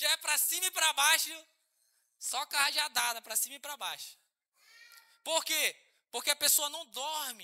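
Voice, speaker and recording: Speaking at a fairly slow pace with long, frequent pauses, a man uses a raised, projected voice that is extremely high in pitch, bright and sharp in tone, and animated. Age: 30s. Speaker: pastor. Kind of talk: sermon. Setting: church.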